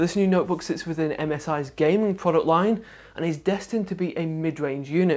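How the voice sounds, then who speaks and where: High pitch for a man, delivered at a fairly quick clip. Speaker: tech reviewer. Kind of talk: product review presentation. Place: studio.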